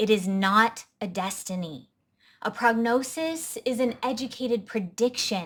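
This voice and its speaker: A woman with a normal speaking voice talks with lively intonation. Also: fairly high pitch for a woman, fairly slow pace. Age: 30s. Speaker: health coach and vlogger. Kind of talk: personal testimony to camera.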